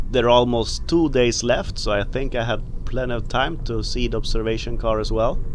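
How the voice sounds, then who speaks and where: A man at a fairly quick pace with hardly any pauses, amid noticeable background noise and audible room echo. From Sweden. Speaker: travel vlogger. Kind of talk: travel vlog narration. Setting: outdoors.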